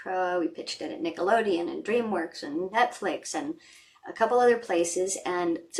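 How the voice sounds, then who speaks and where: The speaker has an American accent and a moderate pace. Noticeable background noise runs underneath. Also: woman. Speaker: voice actor. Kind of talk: interview answer. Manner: casual, conversational.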